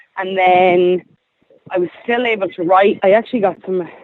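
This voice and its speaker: The speaker has an Irish accent. The pace is moderate, with ordinary pitch variation. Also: woman. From Ireland. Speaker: singer-songwriter. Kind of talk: interview.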